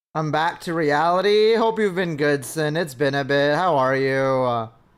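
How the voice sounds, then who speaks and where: This man has an ordinary speaking voice, fairly high in pitch, talking at a moderate pace with ordinary pitch variation. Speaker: vtuber streamer. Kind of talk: live game stream chat. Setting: live stream.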